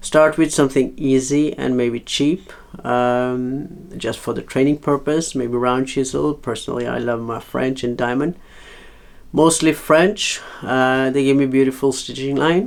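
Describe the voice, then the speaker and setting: A man with a non-native accent talks at a fairly slow pace. His medium pitch follows fairly even intonation. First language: not English. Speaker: leathercraft hobbyist teacher. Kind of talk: tutorial. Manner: halting, many fillers.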